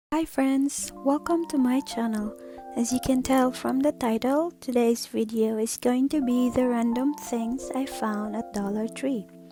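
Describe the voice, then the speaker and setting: Against background music, a woman with a high voice and a non-native accent speaks at a fairly slow pace with ordinary pitch variation. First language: not English. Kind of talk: product haul narration.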